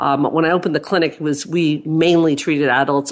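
Speaking at a moderate pace, the woman has a very deep, low voice. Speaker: clinical psychologist and author. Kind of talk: expert interview conversation. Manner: thoughtful, explanatory.

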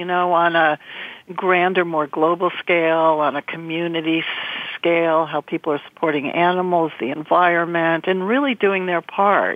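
With an American accent, a woman speaks in a normal speaking voice, her pitch fairly low and her pace moderate. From New York area. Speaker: guest co-host, former creative director. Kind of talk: casual chat.

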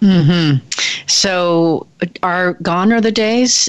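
A woman's fairly low-pitched, normal speaking voice with ordinary pitch variation. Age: 50s. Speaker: radio host and leadership consultant. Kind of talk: radio interview. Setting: radio studio.

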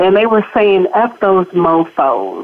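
With an American accent, a woman speaks at medium pitch and a fairly slow pace. She has a normal speaking voice. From Los Angeles, US. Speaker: educator and nonprofit CEO. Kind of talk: interview testimony. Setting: studio.

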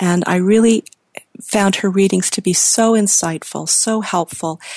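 A woman speaks at a moderate pace with a medium pitch and ordinary pitch variation in a plain, everyday voice. The sound is dry and close with no echo. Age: 50s. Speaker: radio host. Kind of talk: interview.

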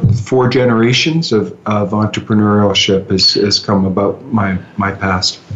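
A man's fairly low voice in a Canadian accent at a very slow pace, with ordinary pitch variation, very even loudness and noticeable background noise. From Ontario, Canada (Muskoka). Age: 50s. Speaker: real estate executive. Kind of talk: interview.

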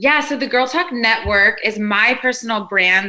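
With an American accent, a woman talks at a moderate pace in a fairly high pitch. Her pitch variation is ordinary, and background noise is noticeable. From US South, Nashville. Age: 30s. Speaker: life coach and community founder. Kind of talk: casual interview chat.

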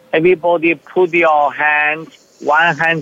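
This man speaks with a Chinese accent. His intonation stays fairly even. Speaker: spiritual teacher. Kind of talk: teaching talk; guided meditation. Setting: live from a retreat. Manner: halting.

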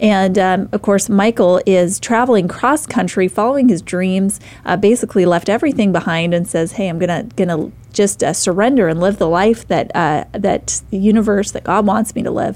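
An unremarkable speaking voice at a moderate pace, ordinary pitch variation and hardly any pauses. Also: woman, medium pitch for a woman. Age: 30s. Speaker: radio talk show host. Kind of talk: interview talk show. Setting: studio.

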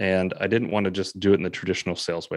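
Very deep, low-pitched male voice at a very fast pace, monotone and flat, over a quiet background. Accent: American. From California. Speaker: real estate agent and podcast host. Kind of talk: interview.

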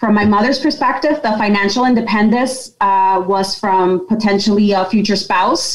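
In an American accent, a woman speaks at a moderate pace and medium pitch with ordinary pitch variation, with audible room echo around her. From Yonkers, New York. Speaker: company president. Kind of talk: interview, personal story.

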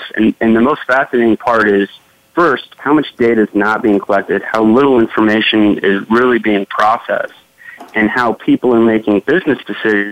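Noticeable background noise runs under a man speaking at a fairly quick pace. His pitch is medium, with ordinary pitch variation. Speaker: business technology executive. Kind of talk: panel discussion.

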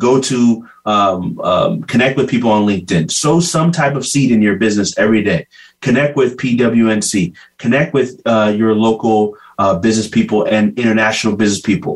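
The voice is an ordinary speaking voice at a moderate pace. Its loudness stays very even, and its pitch variation is ordinary. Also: man, medium pitch for a man. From US (California), raised in Ghanaian family. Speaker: social media entrepreneur. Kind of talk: interview.

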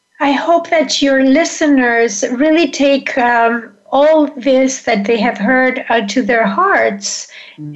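Noticeable background noise sits behind a woman's voice. She speaks at a very slow pace with ordinary pitch variation. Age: 60s. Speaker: menopause coach and author. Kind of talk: casual interview.

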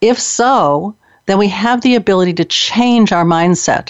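Lively intonation carries an unremarkable speaking voice along at a fairly slow pace. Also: woman. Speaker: radio host. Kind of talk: radio interview. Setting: internet radio studio.

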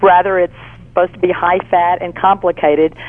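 A woman with a Southern US accent speaks at a medium pitch with fairly even intonation. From Texas, Fort Worth. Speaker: cookbook author. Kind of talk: interview.

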